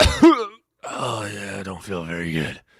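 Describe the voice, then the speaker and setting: A put-on character voice, low and raspy. It moves at a fairly slow pace. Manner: low and weak.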